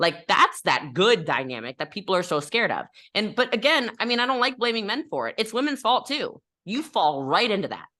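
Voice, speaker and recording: A woman speaks loudly in a bright, sharp, animated tone at a fairly high pitch, with very wide pitch swings and vocal fry. Her pace is fairly quick, and the background is quiet. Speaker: network marketer and business coach. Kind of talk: podcast interview.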